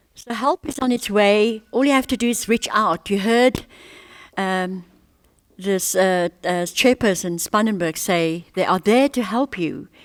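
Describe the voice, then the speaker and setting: A woman with an unremarkable speaking voice talks at a fairly slow pace, her pitch fairly high with ordinary variation. The recording is very clean, with a silent background and a dry, close sound without echo. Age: 60s. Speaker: radio host. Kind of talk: interview.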